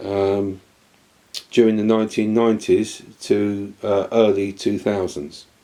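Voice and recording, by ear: At a fairly slow pace, a man speaks in a dark, mellow tone with little pitch movement.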